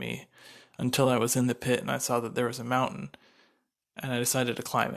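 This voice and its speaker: A man talking very fast at a medium pitch, with vocal fry and fairly even intonation, on a very clean recording with a silent background. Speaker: podcast host and entrepreneur. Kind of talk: solo podcast monologue. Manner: halting, many fillers.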